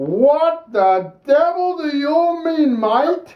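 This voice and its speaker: The speaker puts on a character voice at a high pitch and a very slow pace. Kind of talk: comic overacting. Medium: stage play. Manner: hammy.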